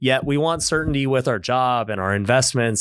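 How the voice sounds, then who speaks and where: This man has a plain, everyday voice with an American accent. His medium pitch rides on lively intonation. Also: very clean recording, silent background. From Las Vegas, US. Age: 30s. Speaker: real estate investor and social media influencer. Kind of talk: casual interview.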